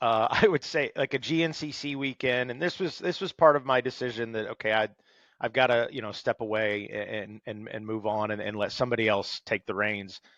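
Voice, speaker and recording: Against a quiet background, a man with a plain, everyday voice at medium pitch speaks at a fairly quick pace in a dry, close sound with no echo. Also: ordinary pitch variation. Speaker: motorsports race announcer; stand-up comedian turned announcer with a day job in sales. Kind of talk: podcast interview answer. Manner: casual, humorous, conversational.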